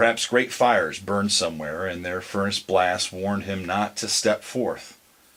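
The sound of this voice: The text comes in an unforced reading voice. Nothing else is layered on.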